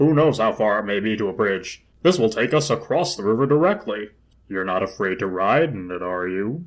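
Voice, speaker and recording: A man puts on a gruff character voice, fairly low in pitch and moving at a fairly quick pace. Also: quiet background. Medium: read story. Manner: gruff, brusque.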